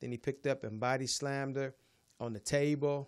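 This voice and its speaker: In a very clean recording with a silent background, a man with a fairly high pitch talks at a moderate pace. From US Midwest, Chicago. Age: 60s. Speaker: podcast co-host. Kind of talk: casual chat.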